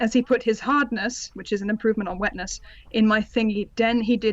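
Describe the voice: The speaker reads plainly aloud.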